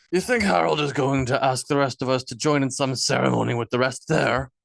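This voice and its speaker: Using a put-on character voice, a man talks at a fairly quick pace, raspy and at medium pitch with ordinary pitch variation. The sound is dry and close with no echo. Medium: read story.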